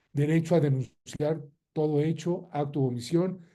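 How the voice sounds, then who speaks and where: A man's fairly high, somewhat breathy voice with a dark, mellow tone and fairly even intonation, in audible room echo. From Mexico. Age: 60s. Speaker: lawyer and lecturer. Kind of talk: lecture.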